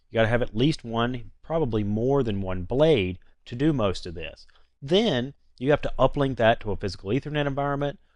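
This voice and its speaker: Against a quiet background, a man with a North Carolina accent talks fairly quickly at a medium pitch. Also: lively intonation. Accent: North Carolina Southern. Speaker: IT trainer and network engineer. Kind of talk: tutorial. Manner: casual, conversational with fillers.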